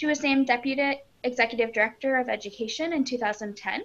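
Talking at a very fast pace, a woman with an American accent uses ordinary pitch variation. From US Midwest. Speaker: psychologist and facilitator. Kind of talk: moderated discussion. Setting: video call. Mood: friendly, smiling. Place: home room. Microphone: video call.

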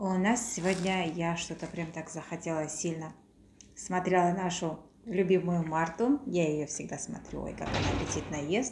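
Over noticeable background noise, a woman talks at a moderate pace in a fairly low voice. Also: ordinary pitch variation. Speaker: vlogger. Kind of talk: casual vlog chat. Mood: warm, cheerful. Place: home room. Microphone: phone near.

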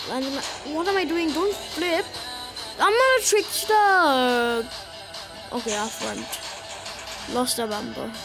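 Background music can be heard. Over it, a woman's voice comes through. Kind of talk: gameplay commentary.

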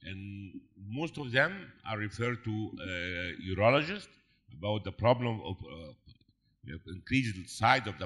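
Lively intonation and big swings in loudness mark this fairly slow delivery, which has long, frequent pauses against a quiet background. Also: man. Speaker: urologist asking questions from the audience; panel discussant. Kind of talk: audience Q&A. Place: hall.

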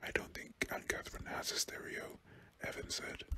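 A man whispers at a moderate pace with a British accent. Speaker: ASMR reader. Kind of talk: bedtime story reading aloud, ASMR narration.

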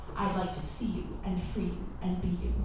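There is strong room echo and noticeable background noise around the speaker. A woman talks at a moderate pace. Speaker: spoken word poet. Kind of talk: poetry performance, spoken word with casual banter between pieces. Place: cafe. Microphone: camera far.

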